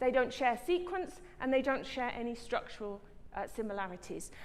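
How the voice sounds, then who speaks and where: With audible room echo, a woman talks in a high pitch with lively intonation and a southern English accent. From England, Brighton. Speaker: professor, scientist. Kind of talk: lecture. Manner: fast.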